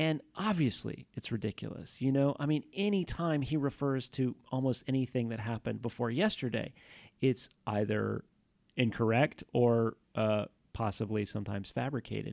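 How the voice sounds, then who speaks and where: In a very clean recording with a silent background and a dry, close sound with no echo, a man uses a normal speaking voice of medium pitch, with ordinary pitch variation and a moderate pace. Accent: American. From Houston, Texas. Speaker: historian. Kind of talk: interview.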